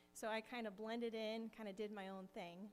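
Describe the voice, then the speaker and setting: A soft-spoken woman with a Pacific Northwest accent and fairly even intonation. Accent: General American (Pacific Northwest). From US Pacific Northwest (Kirkland, Washington). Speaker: missionary. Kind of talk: testimony. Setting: church.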